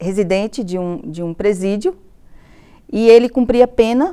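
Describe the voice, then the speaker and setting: A woman with a fairly high pitch and lively intonation has an unremarkable speaking voice. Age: 50s. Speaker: university professor. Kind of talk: interview testimony.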